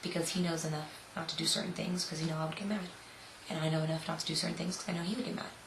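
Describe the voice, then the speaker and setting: Recorded with noticeable background noise and audible room echo, a woman with an American accent speaks at a fairly low pitch. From South Florida. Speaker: model and vlogger. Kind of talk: casual Q&A vlog. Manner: loud; animated.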